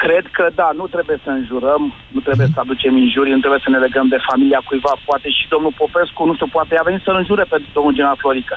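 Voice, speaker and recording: Noticeable background noise runs beneath a man talking at a fairly quick pace. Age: 50s. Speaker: radio caller. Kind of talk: phone-in discussion.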